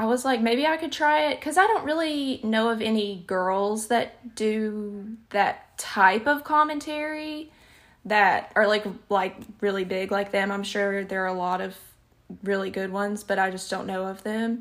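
A woman talks with a Southern US accent at a fairly high pitch. She goes at a fairly slow pace with lively intonation. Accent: Southern US, noticeable. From Alabama, US South. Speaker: YouTuber and podcaster. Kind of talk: casual chat. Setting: video call.

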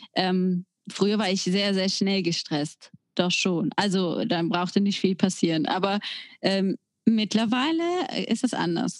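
At a very slow pace, a woman with a medium pitch talks with ordinary pitch variation. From Germany, near the Belgian border. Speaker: podcast co-host. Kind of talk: casual chat.

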